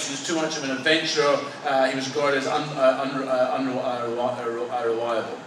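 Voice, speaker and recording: A man with a Scottish accent, amid noticeable background noise. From Edinburgh, Scotland. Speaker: socialist editor and political organiser. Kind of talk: political history talk. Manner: hesitant, many fillers.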